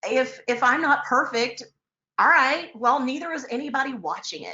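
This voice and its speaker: In an American accent, a woman with a high pitch speaks at a moderate pace, her loudness swinging widely. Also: ordinary pitch variation. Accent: Texas twang, comes out sometimes. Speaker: real estate broker and finance author. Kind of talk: casual interview chat. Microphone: connection dropping.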